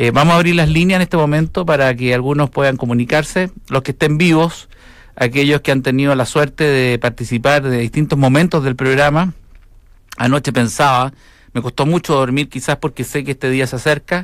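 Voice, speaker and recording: On a very clean recording with a silent background, a man with an ordinary speaking voice talks at a fairly quick pace and a fairly high pitch. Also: fairly even intonation. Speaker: radio host. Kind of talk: casual chat.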